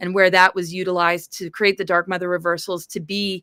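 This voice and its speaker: In a very clean recording with a silent background, a woman at medium pitch speaks fairly quickly with a bright, sharp tone, monotone, flat intonation, and a dry, close sound with no echo. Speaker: spiritual author. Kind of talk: interview. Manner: fast.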